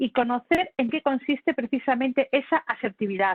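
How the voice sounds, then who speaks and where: A woman is speaking. Her pitch is high. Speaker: communication lecturer. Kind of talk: lecture. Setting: video call. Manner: fast; animated.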